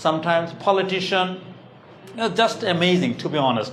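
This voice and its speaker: A high-pitched man's voice with a Bengali accent, moderate pace, noticeable background noise and audible room echo. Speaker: English teacher. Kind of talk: classroom lecture.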